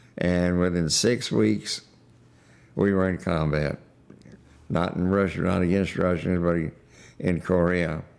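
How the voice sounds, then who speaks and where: At a very slow pace, a man speaks in a very deep, low voice. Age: 90s. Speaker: war veteran. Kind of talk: testimony. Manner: halting.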